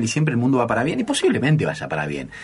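Noticeable background noise runs beneath a man whose pitch swings very widely. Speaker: radio host. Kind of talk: radio interview. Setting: radio studio. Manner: halting, many fillers.

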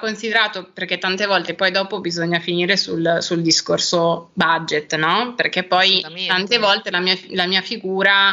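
A woman with a bright, sharp tone speaks at a fairly slow pace with hardly any pauses, fairly even intonation and very even loudness. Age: 30s. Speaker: make-up artist and hairstylist. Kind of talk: interview.

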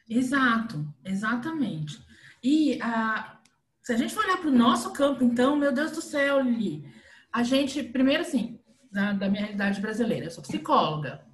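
A woman with a high voice speaks at a moderate pace with very wide pitch swings, and the room echo is audible. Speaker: podcast host, behavior analyst. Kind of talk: casual chat.

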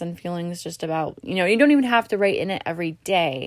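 A woman with a normal speaking voice and medium pitch talks with ordinary pitch variation in a very clean recording with a silent background. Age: 20s. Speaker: podcast host. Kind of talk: casual monologue. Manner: casual, filler-heavy.

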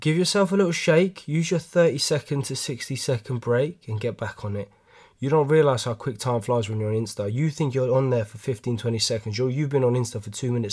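In a London accent, a man talks at a very fast pace, somewhat breathy, on a very clean recording with a silent background. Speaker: podcast host, gym fitness talk. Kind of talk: solo casual monologue podcast. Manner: casual, rambling, animated.

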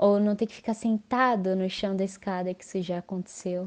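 A woman's voice comes through in a dark, mellow tone. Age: 20s. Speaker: podcast guest. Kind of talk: casual chat.

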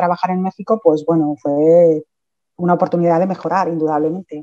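In a dry, close sound with no echo, a woman speaks in a fairly low pitch with a dark, mellow tone and monotone, flat intonation. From Asturias, Spain (from age 11; born in Mexico). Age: 50s. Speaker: teacher. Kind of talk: interview.

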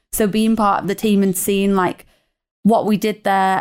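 Speaking at medium pitch with fairly even intonation, a woman with a British accent is heard in a very clean recording over a silent background. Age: 30s. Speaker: ecommerce marketing manager. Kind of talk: casual interview. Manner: fast, filler-heavy.

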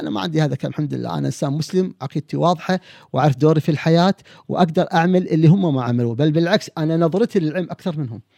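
Talking at a very fast pace, a man with a dark, mellow tone and a fairly high pitch shows ordinary pitch variation, recorded with a dry, close sound with no echo on a very clean recording with a silent background. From Kuwait. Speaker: family physician and personality expert. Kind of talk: podcast interview. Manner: animated.

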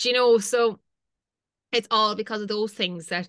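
Speaking in a Limerick accent, a woman talks at a fairly quick pace with monotone, flat intonation. Her tone is bright and sharp, and the background is quiet. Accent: Irish (Limerick). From Ireland, County Limerick. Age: 20s. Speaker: fashion content creator. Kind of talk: casual chat.

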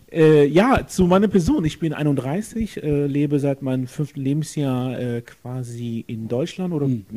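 With an unremarkable speaking voice, a man speaks in a fairly high pitch with ordinary pitch variation. His pace is fairly slow, yet he leaves hardly any pauses. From Germany, Jülich. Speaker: guest, political supporter. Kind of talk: casual interview. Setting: friend's apartment.

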